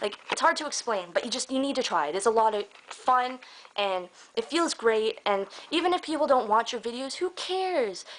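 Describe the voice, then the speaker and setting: Over noticeable background noise, a woman speaks at a moderate pace in a high pitch, her pitch swinging very widely. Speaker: vlogger. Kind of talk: casual vlog monologue. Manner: animated.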